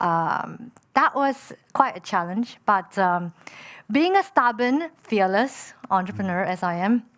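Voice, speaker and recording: On a very clean recording with a silent background, a woman speaks very slowly in a medium pitch with lively intonation. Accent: Chinese. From Malaysia. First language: Chinese. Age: 30s. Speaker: entrepreneur. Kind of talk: panel discussion. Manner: hesitant with many fillers.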